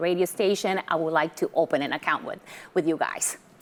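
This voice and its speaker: A woman speaks at a medium pitch. She has a Puerto Rican accent. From Puerto Rico, moved to Massachusetts at ten. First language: Spanish. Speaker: credit union relationship manager. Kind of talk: interview.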